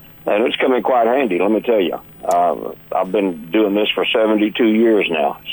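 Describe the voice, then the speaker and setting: With a Texan accent, a man speaks at a fairly low pitch with ordinary pitch variation over noticeable background noise. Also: moderate pace, very even loudness. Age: 60s. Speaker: country singer. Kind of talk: interview. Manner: halting.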